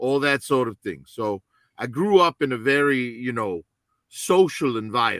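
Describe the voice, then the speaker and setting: Speaking with an American accent at a moderate pace, a man uses a normal speaking voice of medium pitch with lively intonation. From Chicago, US Midwest. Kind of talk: casual chat.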